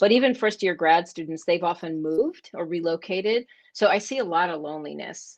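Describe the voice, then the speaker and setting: A woman speaks at a moderate pace with fairly low pitch. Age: 60s. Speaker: professor. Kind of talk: casual chat. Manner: halting.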